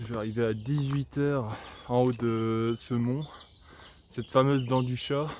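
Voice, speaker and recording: A man talks at a fairly slow pace with medium pitch and monotone, flat intonation. Long, frequent pauses break up his speech over noticeable background noise. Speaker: vlogger. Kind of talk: casual vlog monologue. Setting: outdoors, walking by a road. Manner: hesitant, many fillers.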